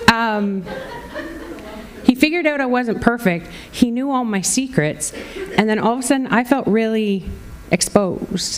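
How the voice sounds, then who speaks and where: Amid noticeable background noise, a woman with fairly high pitch speaks at a moderate pace with ordinary pitch variation and long, frequent pauses. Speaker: pastor. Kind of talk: sermon preached to a congregation.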